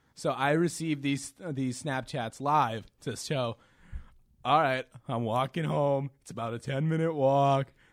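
A man with a fairly high pitch talks at a fairly slow pace with fairly even intonation in a plain, everyday voice. The recording is very clean, with a silent background. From Quincy, Massachusetts (Boston area). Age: 20s. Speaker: college student podcast co-host. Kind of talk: casual chat.

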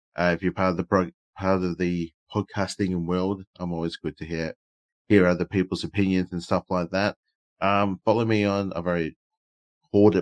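A man with an Australian accent speaks at a moderate pace in a very deep, low voice, his intonation flat and monotone, the sound dry and close with no echo. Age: 30s. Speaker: podcast co-host. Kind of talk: casual chat. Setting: live stream.

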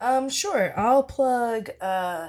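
A woman talks at a very slow pace. Her pitch variation is ordinary. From Philadelphia. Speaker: writer, actor and improviser. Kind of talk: casual chat. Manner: very casual, laid-back.

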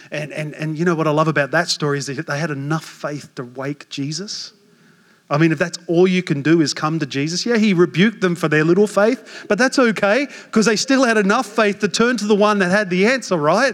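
Animated and quick-moving, this man talks at a fairly fast pace with a high pitch. His intonation is lively, and he has an Australian accent. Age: 40s. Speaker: pastor. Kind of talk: sermon.

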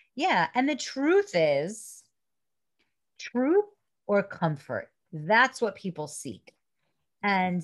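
In a very clean recording with a silent background, a woman with a New York accent speaks very slowly, pausing long and often as her pitch swings very widely. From Brooklyn, New York. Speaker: spiritual teacher and coach. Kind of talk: casual interview.

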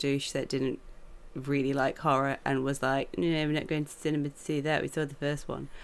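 Speaking at a moderate pace with a British accent, a woman is heard on a very clean recording with a silent background. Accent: British English, common. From England. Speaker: film journalist. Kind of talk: casual chat.

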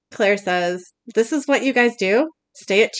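A quiet background behind plain reading aloud

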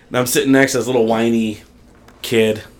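Over noticeable background noise, a man with an American accent rattles along at a very fast pace, flat and monotone at a medium pitch. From western New York. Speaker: barbecue social media cook. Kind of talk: casual chat.

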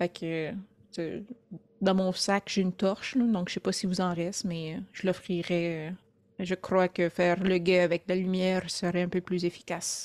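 Speaking at a fairly slow pace, a woman with a medium-pitched voice keeps a flat, monotone intonation in a dry, close recording with no echo. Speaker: tabletop role-playing game player. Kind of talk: casual chat. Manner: halting.

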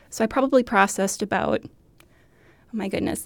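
On a very clean recording with a silent background, a woman speaks at a fairly quick pace with an American accent. She has a plain, everyday voice at medium pitch with ordinary pitch variation. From Minnesota, US. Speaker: archivist. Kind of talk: interview.

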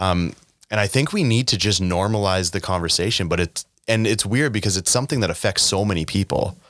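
With an ordinary speaking voice, a man talks at a fairly quick pace and fairly low pitch, his loudness very even and his pitch variation ordinary. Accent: Canadian. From Canada, Saskatchewan (Regina). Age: 30s. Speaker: mental health nonprofit founder. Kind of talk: interview.

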